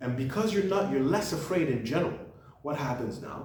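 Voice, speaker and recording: There's audible room echo and noticeable background noise here. A man with a French accent talks with lively intonation. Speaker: book reviewer, channel host. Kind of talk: casual monologue book review. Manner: halting, with repetitions and restarts.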